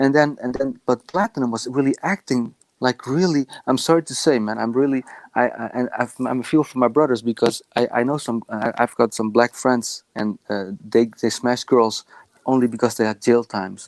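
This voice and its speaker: A man with a Dutch accent and medium pitch talks at a moderate pace with ordinary pitch variation, in a very clean, dry, close recording with a silent background and no echo. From Netherlands. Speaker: caller. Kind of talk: casual chat. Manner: halting.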